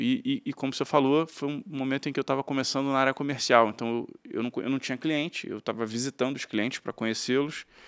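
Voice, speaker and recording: Very fast and fairly even in intonation, a man delivers his lines. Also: quiet background. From Rio de Janeiro, Brazil (Tijuca, north zone); Rio de Janeiro. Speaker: banker, investment bank partner; interview guest. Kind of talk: interview. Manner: halting, many fillers. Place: studio. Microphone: studio mic.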